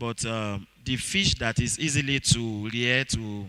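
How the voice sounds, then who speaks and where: A man with a Nigerian accent speaks at a very slow pace, with a medium pitch and ordinary pitch variation. His tone is bright and sharp, in a dry, close sound with no echo. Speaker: fish farming trainer. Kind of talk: seminar talk. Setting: auditorium. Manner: halting, many fillers.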